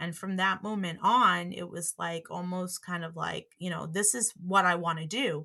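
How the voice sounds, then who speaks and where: A woman with an American accent speaks at a moderate pace and a fairly low pitch. Her intonation is fairly even, and she uses hardly any pauses. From Long Island, New York (early childhood in Brooklyn). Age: 40s. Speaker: elementary school teacher, former college radio DJ. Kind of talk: casual interview reminiscence. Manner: many fillers and hesitations.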